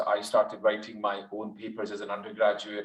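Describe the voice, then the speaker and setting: A man talks at a moderate pace with a Glaswegian accent. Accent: Glaswegian Scottish. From Scotland, Glasgow. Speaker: dentist. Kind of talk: webinar talk.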